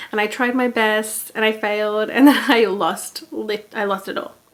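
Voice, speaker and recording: With noticeable background noise behind her, a woman talks in a relaxed tone. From Australia. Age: 20s. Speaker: knitting podcaster. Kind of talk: casual chat. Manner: relaxed, filler-heavy.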